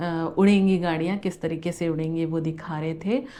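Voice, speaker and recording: A woman's voice sits fairly low in pitch and has a dark, mellow tone. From India. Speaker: travel vlogger. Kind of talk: vlog narration. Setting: museum walkthrough.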